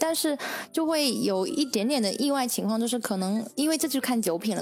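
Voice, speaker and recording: A woman with a normal speaking voice talks fairly quickly at a fairly high pitch, using ordinary pitch variation. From Longyan, Fujian, China. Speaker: university teacher and translator. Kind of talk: casual chat. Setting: studio.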